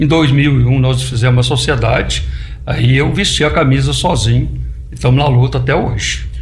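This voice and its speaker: Amid noticeable background noise and audible room echo, a man speaks at a very even loudness. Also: moderate pace. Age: 70s. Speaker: farmer and electrical engineer. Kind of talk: radio interview.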